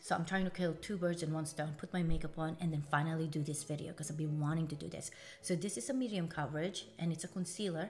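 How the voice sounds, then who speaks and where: Music plays in the background as a woman speaks at a very fast pace with hardly any pauses. Her pitch is fairly low, and her intonation fairly even. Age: 50s. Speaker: beauty vlogger. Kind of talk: makeup tutorial. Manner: casual, chatty.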